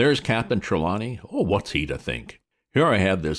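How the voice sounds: It is a natural reading voice, heard against a quiet background.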